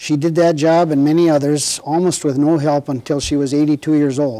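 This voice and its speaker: A man with an Upper Midwest accent talks at a moderate pace in a dark, mellow tone, his fairly high pitch held to fairly even intonation. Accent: Upper Midwest American. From Minnesota, Red River Valley. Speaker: war veteran. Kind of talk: oral history interview. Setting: recorded interview with cameras.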